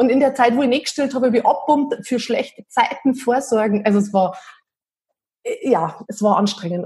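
A woman with a dark, mellow tone and a somewhat breathy voice talks at a fairly quick pace with ordinary pitch variation. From Bavaria, Berchtesgadener Land (Bad Reichenhall). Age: 40s. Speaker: improv theatre enthusiast, self-employed mother. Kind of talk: casual interview.

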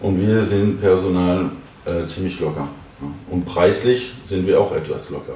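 A man's very deep, low voice at a fairly slow pace, with long, frequent pauses, ordinary pitch variation, audible room echo and noticeable background noise. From France, Paris. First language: French (speaking German). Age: 30s. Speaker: restaurant owner and chef. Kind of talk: interview. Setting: restaurant.

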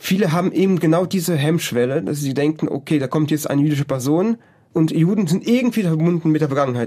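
The man talks very fast in a fairly high pitch while noticeable background noise carries on. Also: ordinary pitch variation. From Germany. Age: 20s. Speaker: project volunteer. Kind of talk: interview.

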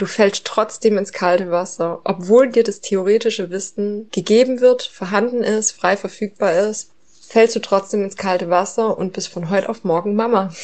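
A woman of medium pitch speaks in an unremarkable speaking voice with fairly even intonation. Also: moderate pace. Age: 30s. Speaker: mother. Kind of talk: recorded monologue.

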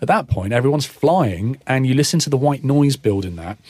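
Breathiness runs somewhat through this man's voice. He talks at a fairly quick pace with lively intonation. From southern England (born London, Kingston; family ties to Cornwall). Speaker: DJ and electronic music producer. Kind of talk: casual interview chat.

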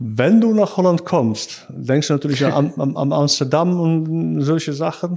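A man with a Dutch accent speaks fairly slowly in a fairly high voice with a dark, mellow tone. The background is quiet. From Netherlands, Rotterdam area. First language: Dutch (speaking German). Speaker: sales engineer. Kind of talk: casual interview. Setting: office. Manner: halting.

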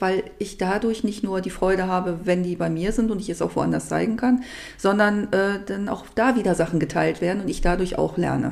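Speaking at a moderate pace, a woman uses a plain, everyday voice of medium pitch with fairly even intonation. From Germany, Upper Harz (Lower Saxony). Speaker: home cook and cooking YouTuber. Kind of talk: casual interview chat. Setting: studio.

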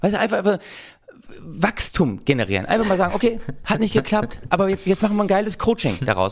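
Talking at a very fast pace, a man speaks with a high pitch. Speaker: podcast co-host. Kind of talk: satirical casual chat.

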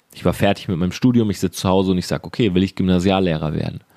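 The recording is very clean, with a silent background. A man talks in an animated tone at a very deep, low pitch. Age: 30s. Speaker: entrepreneur and business podcast host. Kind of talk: motivational monologue.

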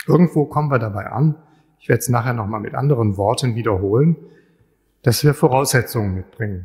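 A man speaks somewhat breathily at a very fast pace, with ordinary pitch variation and long, frequent pauses. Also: medium pitch for a man. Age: 60s. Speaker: chemist and lecturer. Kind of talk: public lecture.

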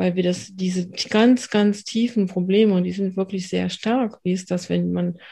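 Speaking at a fairly slow pace, a woman has a somewhat breathy, dark, mellow tone and a fairly low pitch. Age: 50s. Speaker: trauma therapist. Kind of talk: interview.

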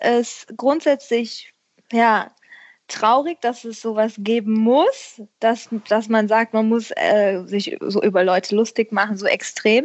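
The woman's pitch sits fairly high and varies in an ordinary way. She talks very slowly. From western Germany, Herzogenrath near Aachen. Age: 30s. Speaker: schlager singer. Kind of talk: casual interview. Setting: remote call.

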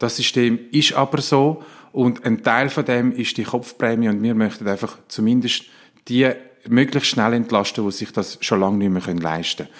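This man has a plain, everyday voice at medium pitch, speaking at a moderate pace with ordinary pitch variation in a very clean recording with a silent background. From Switzerland, near Winterthur (Zurich canton), Sicilian roots. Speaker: politician and family doctor. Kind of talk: interview.

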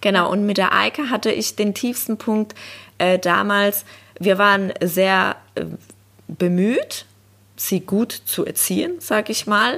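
On a very clean recording with a silent background, a woman at medium pitch talks at a very slow pace, with ordinary pitch variation and long, frequent pauses. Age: 30s. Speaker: social worker and dog owner. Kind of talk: casual interview chat.

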